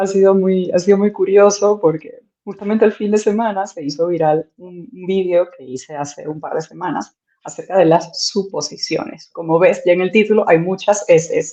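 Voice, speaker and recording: A woman speaks at a moderate pace with big swings in loudness. Her medium pitch carries a dark, mellow tone and ordinary pitch variation. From Venezuela. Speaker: content creator. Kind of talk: interview conversation.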